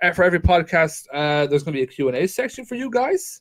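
Speaking at a fairly high pitch with very wide pitch swings, a man talks in an Irish accent. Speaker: podcast co-host. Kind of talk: casual chat. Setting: video call.

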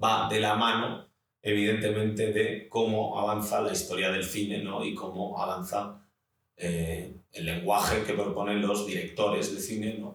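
A man speaks at a fairly slow pace in a fairly low pitch, his intonation flat and monotone. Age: 30s. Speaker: film and TV assistant director. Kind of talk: interview. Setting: in person recording.

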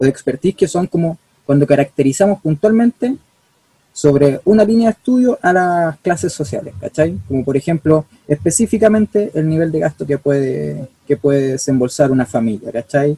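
A man's fairly high, dark and mellow voice with a Chilean accent, very wide pitch swings, a moderate pace, and a dry, close sound with no echo. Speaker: student activist. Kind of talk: casual chat.

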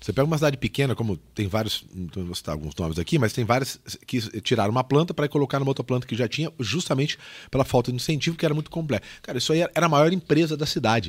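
Very fast, lively speech with vocal fry, on a very clean recording with a silent background. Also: man, medium pitch for a man. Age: 40s. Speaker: podcast host, sales trainer. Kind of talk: casual interview chat.

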